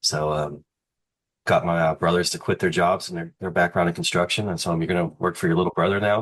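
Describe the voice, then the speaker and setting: Very deep and low in pitch, a man speaks very fast in a flat monotone. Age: 30s. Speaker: RV park developer and builder. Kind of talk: podcast interview. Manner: casual, filler-heavy.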